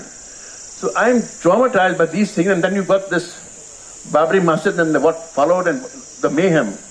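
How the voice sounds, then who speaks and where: Noticeable background noise sits behind the recording. A man speaks at a high pitch with ordinary pitch variation. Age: 70s. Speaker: film director and author. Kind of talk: interview at a literary festival. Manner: animated.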